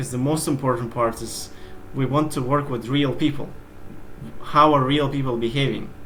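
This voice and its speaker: A man with a non-native accent speaks at a fairly quick pace, his pitch fairly high and intonation fairly even. Noticeable background noise and audible room echo are present. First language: not English. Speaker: SEO expert. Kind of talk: interview.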